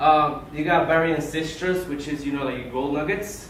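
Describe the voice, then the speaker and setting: Fairly high in pitch with fairly even intonation, a man speaks amid noticeable background noise and audible room echo. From Colombia. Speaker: aquarium hobbyist speaker. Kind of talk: club presentation. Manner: informal, many fillers.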